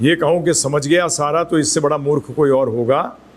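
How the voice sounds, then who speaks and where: A man speaks in an ordinary speaking voice. His intonation stays fairly even. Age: 60s. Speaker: spiritual teacher. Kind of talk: lecture.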